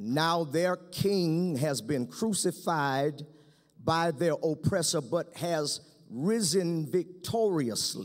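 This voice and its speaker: Against a quiet background, a man talks at a very slow pace with ordinary pitch variation. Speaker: pastor. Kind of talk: sermon. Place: stage. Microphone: podium.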